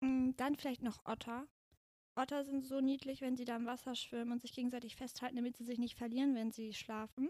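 The woman's voice is high-pitched with a dark, mellow tone. She speaks at a fairly quick pace in a monotone, flat delivery. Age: 20s. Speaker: podcast guest. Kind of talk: casual chat.

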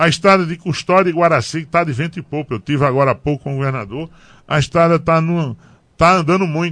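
A man with a normal speaking voice, fairly high-pitched, with ordinary pitch variation, against a quiet background. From Pernambuco sertão, Brazil. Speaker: politician, former mayor. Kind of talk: radio interview. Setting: radio studio.

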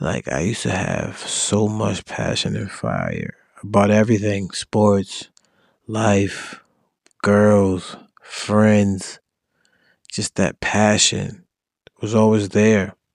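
A man with a fairly low pitch speaks at a very slow pace in a monotone, flat intonation. Long, frequent pauses break up his speech. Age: 20s. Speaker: podcast host. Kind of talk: casual monologue. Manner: casual, rambling delivery.

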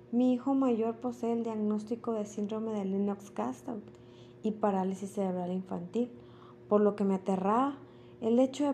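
Her voice is dark, mellow and somewhat breathy, at medium pitch with ordinary pitch variation. The woman keeps a moderate pace. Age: 30s. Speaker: intensive care nurse. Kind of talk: personal testimony, read from a script. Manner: formal.

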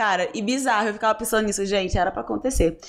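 A woman speaks in a Rio de Janeiro accent. Her fairly high pitch comes with lively intonation. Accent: carioca. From Rio de Janeiro, Brazil. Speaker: influencer. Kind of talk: casual chat.

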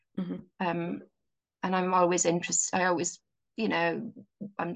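A woman with a Welsh accent talks in a flat monotone marked by vocal fry. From Wales. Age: 50s. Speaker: mental health social worker. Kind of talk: casual chat.

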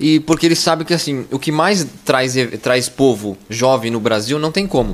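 A man talks at a moderate speed with lively intonation while noticeable background noise sounds around him. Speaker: podcast host. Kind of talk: casual chat.

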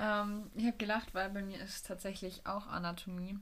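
A somewhat breathy woman speaks at a medium pitch in a flat monotone. The room echo is audible. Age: 20s. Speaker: physiotherapy trainee and student, podcast co-host. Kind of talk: casual chat.

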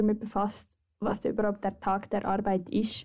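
A woman speaks at a fairly high pitch in a dark, mellow tone. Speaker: podcast co-host, student. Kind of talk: casual chat.

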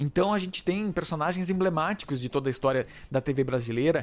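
A man at a fairly high pitch and fairly quick pace, with ordinary pitch variation, in a very clean recording over a silent background. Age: 30s. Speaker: podcast host. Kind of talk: solo podcast monologue. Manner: halting, with frequent fillers.

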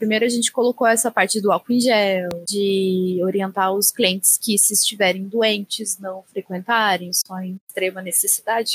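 A woman speaks at a moderate pace. Her voice is somewhat breathy, with fairly even intonation. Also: dry, close sound with no echo. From interior of São Paulo state. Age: 20s. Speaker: beauty professional. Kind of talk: casual group discussion.

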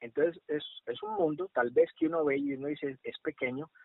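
A man with a normal speaking voice talks at a fairly slow pace, his fairly high pitch carrying lively intonation. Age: 30s. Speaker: social worker, HR manager. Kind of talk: casual interview.

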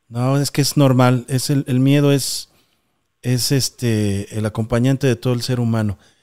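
A man's medium-pitched voice with a Mexican accent, dark and mellow in tone, fairly slow, very even in loudness, with a dry, close sound and no echo. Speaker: paranormal podcast host. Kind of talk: live stream call-in show. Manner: animated.

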